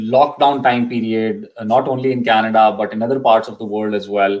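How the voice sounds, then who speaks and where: This man's medium-pitched voice keeps a monotone, flat intonation. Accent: Pakistani. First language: Urdu. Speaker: immigration consultant. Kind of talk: live Q&A info session. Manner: hesitant, many fillers.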